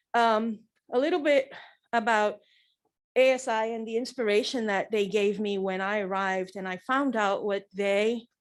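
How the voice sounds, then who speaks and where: Speaking at a fairly slow pace, a woman uses a fairly high pitch with ordinary pitch variation. The recording is very clean, with a silent background. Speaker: bereaved mother. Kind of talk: press conference statement. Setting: press conference. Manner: loud.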